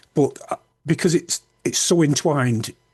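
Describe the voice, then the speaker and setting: Over a quiet background, a man talks at a fairly quick pace in a somewhat breathy voice, the sound dry and close with no echo. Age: 60s. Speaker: public speaker and author with Tourette's. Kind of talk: interview conversation. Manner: halting, repeats words.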